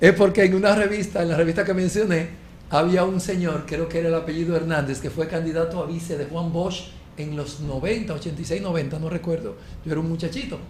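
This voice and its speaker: Very fast speech from a man with a high pitch and ordinary pitch variation, amid noticeable background noise and audible room echo. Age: 50s. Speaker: talk show panelist. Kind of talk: casual chat. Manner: animated.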